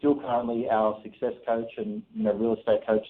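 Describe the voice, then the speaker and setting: Medium-pitched, fairly quick male speech in an Australian accent, with ordinary pitch variation. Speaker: real estate investor. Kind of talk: radio interview. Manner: many fillers and restarts.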